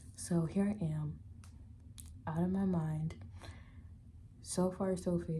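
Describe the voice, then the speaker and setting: Somewhat breathy and dark, mellow in tone, a woman speaks at a very slow pace amid audible room echo. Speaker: vlogger and tarot reader. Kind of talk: casual vlog. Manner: casual with many fillers.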